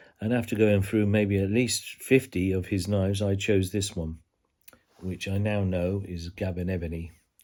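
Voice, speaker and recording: A man with a British accent, very deep and low in pitch, at a moderate pace with fairly even intonation. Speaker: knife reviewer. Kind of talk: product review. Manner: halting.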